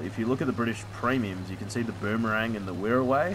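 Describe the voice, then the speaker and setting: Amid noticeable background noise and audible room echo, a man with an Australian accent talks at a fairly quick pace and a fairly low pitch. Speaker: gaming YouTuber. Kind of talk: casual gameplay commentary. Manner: rambling with many fillers.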